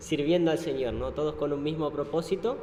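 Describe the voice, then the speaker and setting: Through noticeable background noise and audible room echo, a man speaks in a fairly high voice with an Argentine accent. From Argentina. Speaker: missionary ship crew member. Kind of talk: church talk presentation. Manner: hesitant, many fillers.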